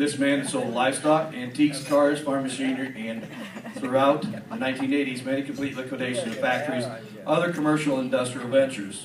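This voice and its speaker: A man talking at a very fast pace with fairly even intonation, over noticeable background noise. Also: medium pitch for a man. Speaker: auction association member presenting an induction award. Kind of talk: award presentation speech reading a biography. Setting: live event in front of an audience.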